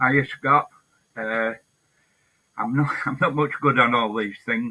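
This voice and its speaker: Very slow speech from a man with a Lancashire accent, bright and sharp in tone, medium in pitch, with fairly even intonation. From northern England, Blackpool, Lancashire. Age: 70s. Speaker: hunger striker and protester. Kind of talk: interview. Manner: halting.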